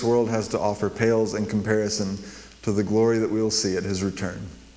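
Audible room echo surrounds a man who speaks fairly quickly at a fairly low pitch. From New Mexico. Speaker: guest preacher. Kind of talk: sermon. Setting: church.

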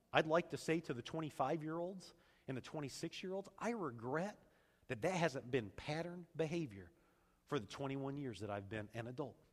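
This man has an unremarkable speaking voice, pitched fairly high. His intonation is lively and his pace moderate. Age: 40s. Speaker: pastor. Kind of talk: sermon.

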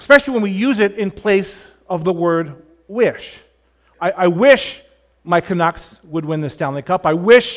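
Read in a natural voice, the passage has lively intonation.

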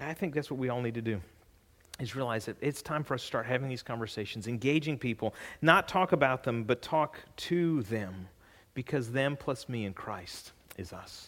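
Over a silent background in a very clean recording, a man with a normal speaking voice and a medium pitch speaks at a moderate pace with lively intonation. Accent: American. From California. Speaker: pastor. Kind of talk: sermon. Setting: church.

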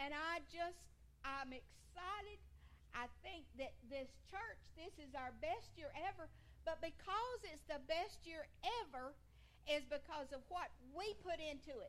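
Speaking with a Georgia accent, a woman with a high pitch uses lively intonation, and the room echo is audible. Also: fairly slow pace. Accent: US South (Georgia). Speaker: seniors' ministry leader. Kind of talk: church talk.

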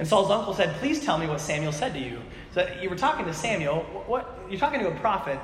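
In a room with audible echo and noticeable background noise, a high-pitched man talks at a very fast pace with very wide pitch swings. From Alaska. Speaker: pastor. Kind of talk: sermon. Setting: church with congregation. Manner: animated.

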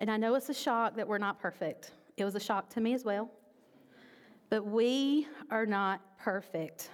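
With long, frequent pauses, a woman speaks at a moderate pace in a fairly high pitch, with ordinary pitch variation and very even loudness. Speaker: pastor. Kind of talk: sermon.

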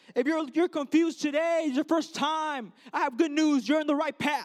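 Sounding animated, a man talks at a moderate pace in an extremely high pitch with ordinary pitch variation. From US Midwest, Chicago (Mexican family). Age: 20s. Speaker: Bible college student preacher. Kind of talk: sermon.

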